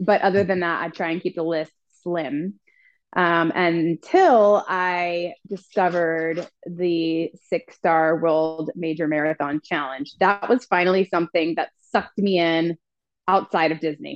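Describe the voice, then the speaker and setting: Against a quiet background, a woman with an ordinary speaking voice talks at a fairly slow pace, her fairly low pitch held to a fairly even intonation. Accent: American. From US East Coast, Washington DC. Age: 40s. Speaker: amateur marathon runner. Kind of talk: casual chat.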